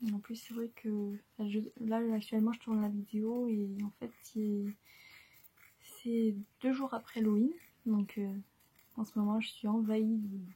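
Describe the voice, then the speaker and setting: A soft-spoken, somewhat breathy voice with a dark, mellow tone, monotone, flat intonation and long, frequent pauses. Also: woman, fairly high pitch for a woman, fairly slow pace. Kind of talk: ASMR soft-spoken chat.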